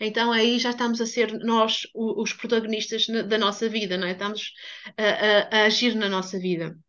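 A woman with a fairly high pitch speaks at a moderate pace in a flat, monotone delivery. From Portugal. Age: 40s. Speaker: human biography therapist. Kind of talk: casual chat.

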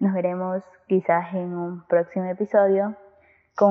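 A woman talks at a fairly slow pace. Her pitch is medium. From Ecuador, Guayaquil. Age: young. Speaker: student podcaster. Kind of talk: casual monologue.

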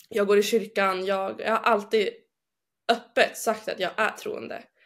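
This woman talks at a very slow pace. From northern Sweden, Umeå. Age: 20s. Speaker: bible school student. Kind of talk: personal testimony. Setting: video call. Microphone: poorer sound over video link.

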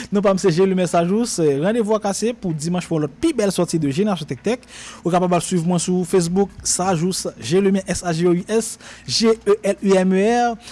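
A man with a Haitian accent and a high pitch speaks in an animated tone at a moderate pace, with ordinary pitch variation and noticeable background noise. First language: Haitian Creole (speaking French). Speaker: radio tech show host. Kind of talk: radio show, casual tech talk and tutorial. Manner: animated, with frequent repetitions.

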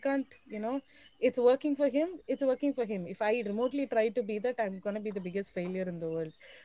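Speaking at a very fast pace with a Tamil accent, a woman has a fairly high pitch, a dark, mellow tone and ordinary pitch variation. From Chennai, India. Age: 20s. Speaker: journalist. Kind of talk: interview. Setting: live stream.

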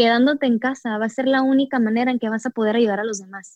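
Her voice is high-pitched, with fairly even intonation. The woman's sound is dry and close, with no echo. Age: 20s. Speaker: yoga practitioner and entrepreneur. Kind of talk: casual interview.

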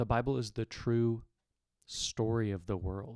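This man talks at a fairly slow pace. His voice is medium in pitch. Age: 30s. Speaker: podcast co-host, landscaper. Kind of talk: casual faith discussion.

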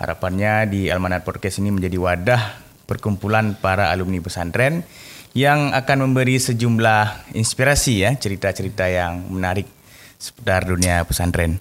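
Speaking with an Aceh accent, a man uses a fairly low pitch with ordinary pitch variation at a moderate pace. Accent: Acehnese. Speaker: podcast host. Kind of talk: casual interview. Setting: studio.

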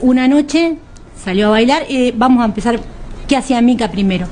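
A woman with a fairly high voice speaks in a lively, up-and-down way over noticeable background noise. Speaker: union gender representative and food technician. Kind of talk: radio interview.

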